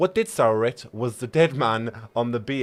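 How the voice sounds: The clip features a natural reading voice. It reads the text through in that natural manner.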